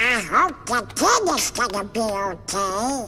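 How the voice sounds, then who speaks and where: A put-on character voice speaks at a fairly high pitch and a fairly slow pace. Background noise is clearly audible. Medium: video game. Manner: squawky, blustering.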